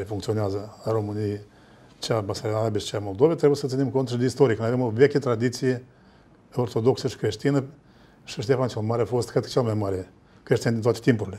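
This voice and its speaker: A man speaks at a very fast pace with fairly even intonation. His tone is dark and mellow, and somewhat breathy. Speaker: political analyst. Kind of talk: panel discussion on TV. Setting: studio. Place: studio.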